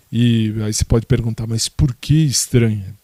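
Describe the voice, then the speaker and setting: Dark and mellow describes the tone. No echo is heard, and the sound stays dry and close. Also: man. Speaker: podcaster. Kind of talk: casual monologue answering listener questions. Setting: home, in his bedroom.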